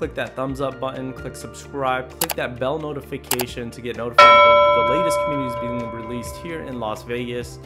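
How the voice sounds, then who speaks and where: A man talks at a fairly quick pace. Music is clearly heard in the background. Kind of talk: promotional video intro. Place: studio. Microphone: studio mic.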